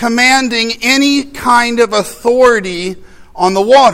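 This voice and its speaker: Over noticeable background noise, a man with an American accent uses a raised, projected voice at an extremely high pitch, speaking at a very slow pace with ordinary pitch variation. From US Midwest. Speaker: pastor. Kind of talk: sermon.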